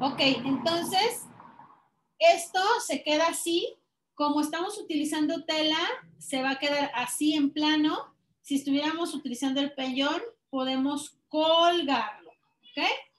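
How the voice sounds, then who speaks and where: Speaking with a Mexican accent at a fairly slow pace, this voice has ordinary pitch variation and audible room echo. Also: woman, high pitch for a woman. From Mexico, Guadalajara; Jalisco, Mexico. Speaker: crafts teacher. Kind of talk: online class tutorial. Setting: video call. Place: workshop.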